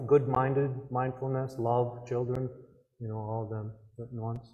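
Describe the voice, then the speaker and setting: A soft-spoken, somewhat breathy man at a medium pitch, dark and mellow in tone, at a moderate pace. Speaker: Native cultural speaker. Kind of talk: public talk Q&A.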